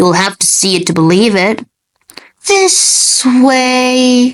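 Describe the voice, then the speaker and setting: Using a put-on character voice, a woman speaks at a high pitch with very wide pitch swings. Her pace is very slow and her loudness very even. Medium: fan dub. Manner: sly, smooth.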